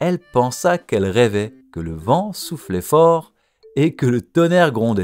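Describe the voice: Against a quiet background, the speaker does plain reading aloud.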